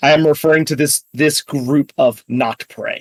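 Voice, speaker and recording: A man puts on a character voice at a fairly high pitch, speaking at a moderate pace. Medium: actual play. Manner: terse, clipped.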